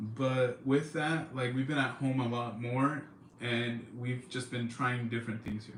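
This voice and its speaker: A man's somewhat breathy voice with an American accent at a fairly slow pace, with audible room echo. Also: medium pitch for a man, fairly even intonation. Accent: California accent (self-described, joking). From California, Central Valley. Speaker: livestream host. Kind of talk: casual chat. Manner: casual, filler-heavy.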